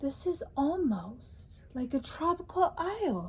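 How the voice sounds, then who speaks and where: The pitch swings very widely in this put-on character voice. The pace is fairly slow. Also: woman. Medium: read story. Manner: gentle, thoughtful.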